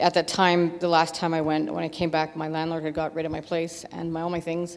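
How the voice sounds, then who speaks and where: The woman's pitch is fairly low, her intonation monotone and flat. She talks at a fairly quick pace over noticeable background noise. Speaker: recovering alcoholic giving church testimony. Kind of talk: testimony. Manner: fast; halting, many fillers.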